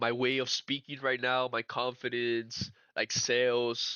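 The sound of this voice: Bright and sharp in tone, a man talks. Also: dry, close sound with no echo.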